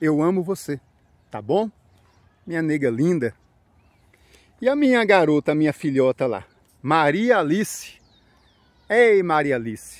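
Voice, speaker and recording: A man with a fairly high pitch talks at a fairly slow pace, with very wide pitch swings, long, frequent pauses, and a quiet background. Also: dry sound with no echo. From Brazil, São Paulo region. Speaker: YouTuber. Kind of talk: vlog narration. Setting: outdoors in a park. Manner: casual, chatty. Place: open country. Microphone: phone near.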